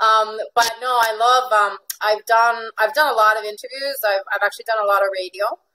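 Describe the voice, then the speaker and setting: A woman with an American accent talks at a fairly quick pace with hardly any pauses, her pitch fairly high and her intonation fairly even. Her tone is bright and sharp, and the sound is dry and close with no echo. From Venezuela. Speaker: life coach. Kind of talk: interview. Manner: frequent fillers and repetitions.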